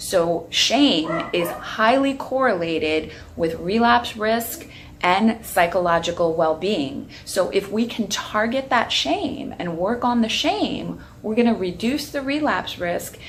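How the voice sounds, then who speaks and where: An American accent at a fairly slow pace with very wide pitch swings, amid noticeable background noise and audible room echo. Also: woman. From Long Island, New York. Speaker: addiction therapist and researcher. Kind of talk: educational talk to camera. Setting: outdoors on back patio.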